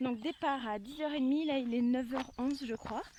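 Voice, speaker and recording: Her pitch high, a woman talks at a fairly slow pace with ordinary pitch variation. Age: 20s. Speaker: veterinary assistant. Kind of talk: casual vlog talk to camera.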